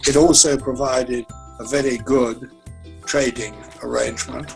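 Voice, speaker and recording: Music plays in the background behind a man's voice. He speaks at a medium pitch with ordinary pitch variation. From United Kingdom. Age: 80s+. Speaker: retired politician. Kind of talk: interview answer. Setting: online video call.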